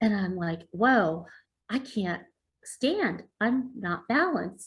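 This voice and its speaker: Very slowly, a woman with a fairly high pitch and a somewhat breathy voice speaks with lively intonation. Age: 40s. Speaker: covid survivor and speaker. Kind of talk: interview. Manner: halting.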